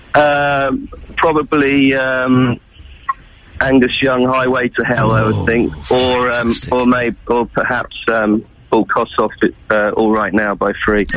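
Over noticeable background noise, a man of medium pitch speaks at a fairly slow pace with fairly even intonation and very even loudness. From England. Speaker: rock guitarist. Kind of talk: radio interview.

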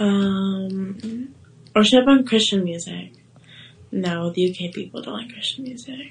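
Somewhat breathy and slow-paced, the voice has an American accent and big swings in loudness. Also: woman, medium pitch for a woman, ordinary pitch variation. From USA. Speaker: livestreamer. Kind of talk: livestream chat.

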